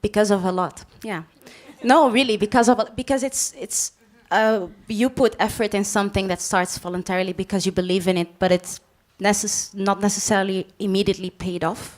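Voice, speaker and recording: A woman's medium-pitched voice with a Dutch accent, ordinary pitch variation and a fairly quick pace. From Belgium. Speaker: panel moderator. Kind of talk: panel discussion. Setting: stage with audience.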